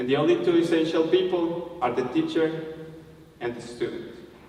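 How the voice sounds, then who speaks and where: Over noticeable background noise, a man with a Spanish accent talks at a moderate pace. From Colombia. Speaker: language teacher. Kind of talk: TEDx talk.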